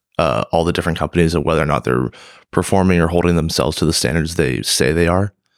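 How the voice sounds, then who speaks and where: A man talks with a very deep, low pitch and ordinary pitch variation. Vocal fry runs through his voice. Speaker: podcast host. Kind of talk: interview questions.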